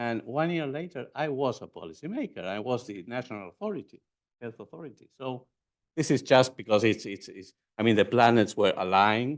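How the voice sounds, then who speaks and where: A man with an Argentine accent, fairly quick pace, lively intonation and big swings in loudness, against a quiet background. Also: medium pitch for a man. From Argentina. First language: Spanish. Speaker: physician and former health minister. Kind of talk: conference lecture. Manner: halting.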